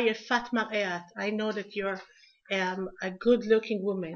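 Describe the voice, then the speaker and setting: A woman with a fairly high voice talks at a moderate speed and keeps her intonation fairly even. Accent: Israeli. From Israel. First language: Hebrew. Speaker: lecturer. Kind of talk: lecture. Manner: halting.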